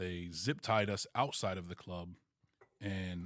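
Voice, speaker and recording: The recording is very clean and the background silent. An American accent marks the speech. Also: man. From New Jersey. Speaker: podcast host. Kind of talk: casual chat. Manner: animated.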